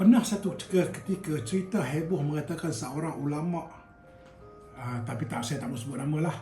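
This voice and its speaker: With music in the background, a man with a fairly high pitch speaks at a moderate pace. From Kedah, Malaysia. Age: old. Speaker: retired airline worker. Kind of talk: casual storytelling to camera.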